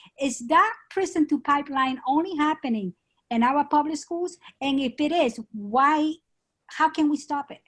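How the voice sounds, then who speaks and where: A woman speaks at a moderate pace with a Spanish accent, her pitch high. Her pitch varies in an ordinary way, and she takes long, frequent pauses. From Spain. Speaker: schoolteacher, audience member. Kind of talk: audience question.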